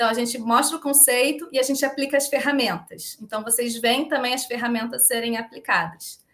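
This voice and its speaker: A woman's high-pitched voice, fairly quick, with ordinary pitch variation and hardly any pauses. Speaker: volunteer organizer of a regenerative economics movement. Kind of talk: podcast interview. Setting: live-streamed video call. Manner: fast; animated.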